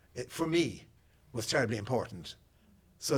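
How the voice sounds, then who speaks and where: A man's somewhat breathy voice in an Irish accent, at a fairly quick pace. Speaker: poet. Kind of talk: audience Q&A. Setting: public talk with audience. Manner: halting, many repeated words.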